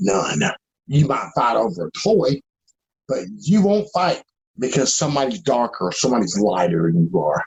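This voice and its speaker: A man at a medium pitch talks at a moderate pace, his voice showing vocal fry and very wide pitch swings. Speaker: activist, victim's relative. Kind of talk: interview.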